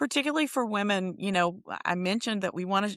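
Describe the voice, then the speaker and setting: Her pitch fairly high and swinging very widely, a woman talks at a fairly quick pace over a quiet background. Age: 60s. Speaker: nonprofit executive. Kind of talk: interview. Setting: podcast.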